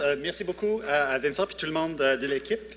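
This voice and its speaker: Noticeable background noise sits behind a man speaking at a fairly quick pace. His voice is high, with ordinary pitch variation. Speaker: tech startup founder. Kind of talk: conference talk. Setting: conference with audience. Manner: halting, many hesitations.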